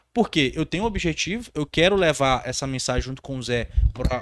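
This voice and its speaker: A man with a fairly high pitch and vocal fry is heard in a dry, close sound with no echo, on a very clean recording with a silent background. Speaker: podcast host, maintenance career coach. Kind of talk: casual podcast chat. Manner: stumbling, runs words together.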